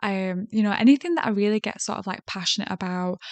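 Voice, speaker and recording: A woman speaks at medium pitch with a Yorkshire accent. The sound is dry and close with no echo, and the background is quiet. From South Yorkshire, England. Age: 30s. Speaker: podcast host. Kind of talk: solo podcast monologue. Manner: hesitant, many fillers.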